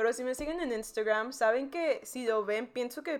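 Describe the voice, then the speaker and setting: A woman's voice at a fairly slow pace, with ordinary pitch variation, on a very clean recording against a silent background. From South Texas border, McAllen. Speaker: podcast co-host. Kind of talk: casual chat. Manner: animated.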